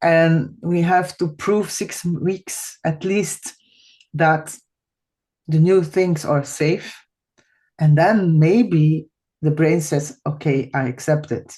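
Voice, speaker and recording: A woman with a Flemish accent speaks at a very slow pace with long, frequent pauses. Her voice is very deep and low, with ordinary pitch variation. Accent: Flemish Dutch accent in English. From Belgium (Flanders). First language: Dutch. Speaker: podcast host, massage therapist. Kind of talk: podcast interview. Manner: halting, searching for English words.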